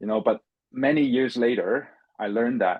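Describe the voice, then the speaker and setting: A man is speaking. He has a Chinese accent. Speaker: finance professional, former international student. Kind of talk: interview. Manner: halting, with many repetitions and fillers.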